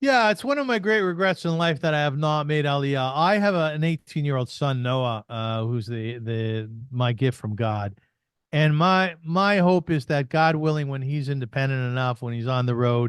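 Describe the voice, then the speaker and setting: In a Canadian accent, a man with a fairly high pitch uses an ordinary speaking voice at a moderate pace. His intonation is lively against a quiet background. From Canada, Kitchener Ontario. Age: 60s. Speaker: podcaster and artist. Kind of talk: interview conversation.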